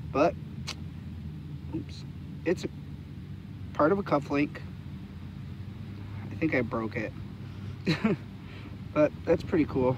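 A man speaks at a fairly slow pace with lively intonation and long, frequent pauses. The sound is dry with no echo, though there is noticeable background noise. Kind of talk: casual vlog commentary. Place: open country. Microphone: phone near.

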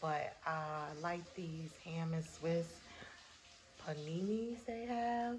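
A woman with a fairly low pitch speaks at a very slow pace, with long, frequent pauses and lively intonation over light background noise. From US North. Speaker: vlogger and author. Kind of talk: casual vlog. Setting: in a car. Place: home room. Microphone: phone near.

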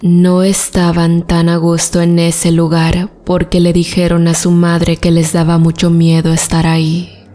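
Over noticeable background noise, a woman speaks at a fairly slow pace with a solemn tone and monotone, flat intonation. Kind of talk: story narration. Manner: measured, solemn storytelling pace with hushed suspense.

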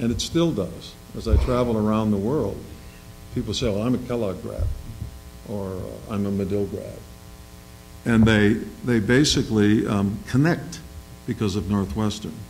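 With vocal fry and a fairly low pitch, a man speaks with ordinary pitch variation and long, frequent pauses over light background noise. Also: moderate pace. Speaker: business executive; panelist. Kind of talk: panel discussion. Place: hall. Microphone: podium.

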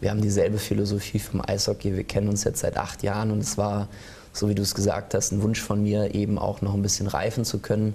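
A man's somewhat breathy, dark and mellow voice, fairly low in pitch, very fast, monotone and flat, at a very even loudness. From Rhine-Main region, Germany; Germany. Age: 30s. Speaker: ice hockey sporting director and assistant coach; assistant coach. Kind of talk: studio interview. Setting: TV studio. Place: studio. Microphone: lapel.

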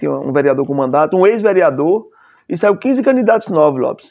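With a quiet background, a man speaks at a fairly quick pace in a high pitch with lively intonation. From Bahia, Brazil. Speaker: city councillor. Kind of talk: interview conversation. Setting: studio. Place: studio. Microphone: lapel.

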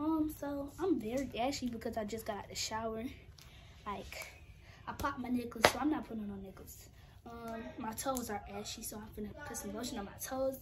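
Noticeable background noise behind a woman's high voice. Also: ordinary pitch variation, fairly quick pace, big swings in loudness. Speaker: vlogger. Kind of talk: casual vlog chat. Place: home room. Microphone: phone near.

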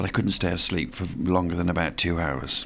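Over light background noise, a man speaks with vocal fry at a very deep, low pitch. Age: 70s. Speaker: amateur ocean yacht racer. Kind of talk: interview answer. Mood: reflective, calm. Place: street.

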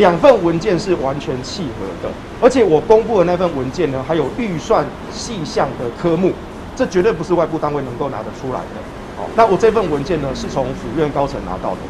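Noticeable background noise beneath a voice with very wide pitch swings. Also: man, fairly high pitch for a man, fairly quick pace. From Taiwan, Taichung; Taiwan. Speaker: pro-nuclear activist. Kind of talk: press interview; press interview answer. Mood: earnest, firm. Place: street. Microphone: handheld.

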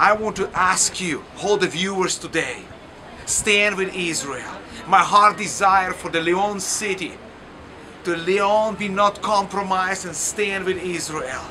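Over noticeable background noise, a man uses a raised, projected voice at a high pitch and a fairly slow pace. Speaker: pastor. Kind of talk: fervent prayer, impassioned intercession. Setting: outdoors or on location video message from Lyon, France. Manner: urgent, pleading, earnest; halting, non-fluent English.

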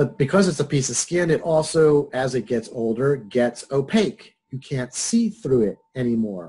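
At a moderate pace, a man speaks in a somewhat breathy voice with a dark, mellow tone. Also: medium pitch for a man, lively intonation, hardly any pauses. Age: 60s. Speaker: psychology professor. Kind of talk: lecture. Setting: video call. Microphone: webcam.

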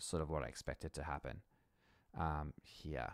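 A man with a very deep, low voice speaks with vocal fry. The sound is dry with no echo, and the background is quiet. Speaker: music educator. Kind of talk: screen-recorded software tutorial. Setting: home recording, mic off-centre. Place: home room. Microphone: studio mic.

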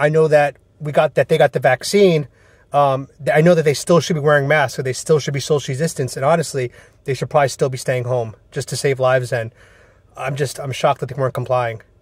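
A man's somewhat breathy voice sits over a quiet background. The sound is dry, without echo. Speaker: caller. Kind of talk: casual selfie monologue, partly a phone call. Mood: indignant, worried. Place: car. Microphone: phone near.

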